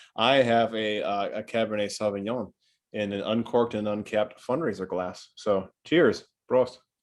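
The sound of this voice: Over a quiet background, the text is read in an unforced reading voice with fairly even intonation.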